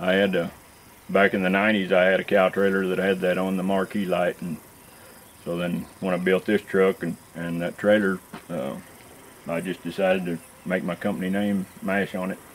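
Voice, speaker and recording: With light background noise, a man with a Texas accent and a very deep, low pitch talks at a moderate pace. His intonation is monotone and flat, with long, frequent pauses. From north Texas (Seymour), raised from 14; born Iowa. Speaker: cattle truck driver; interviewee. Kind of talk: interview. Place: open country.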